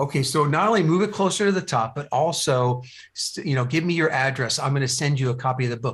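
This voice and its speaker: On a very clean recording with a silent background, a man with an American accent speaks fairly quickly at a fairly high pitch with ordinary pitch variation. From New Jersey. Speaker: business coach. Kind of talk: podcast interview. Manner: halting, many fillers and repeats.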